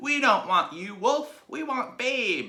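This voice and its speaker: A man puts on a character voice at an extremely high pitch. He is loud and speaks at a fairly slow pace. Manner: defiant, loud.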